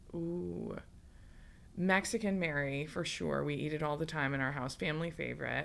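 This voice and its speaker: With an Upper Midwest accent, a woman talks at a moderate pace in a very deep, low pitch with lively intonation. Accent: Upper Midwest American. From West Michigan. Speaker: politician. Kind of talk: casual chat.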